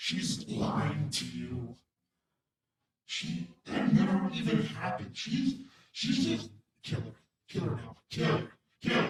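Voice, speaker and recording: Putting on a raspy character voice, a man speaks fairly slowly with long, frequent pauses and a slight echo. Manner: menacing, urging.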